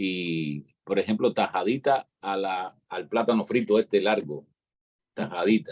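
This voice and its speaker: In a Cuban accent, a man speaks at a fairly slow pace and a fairly low pitch, the sound dry and close with no echo. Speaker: panelist on live online talk show. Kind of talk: live panel discussion.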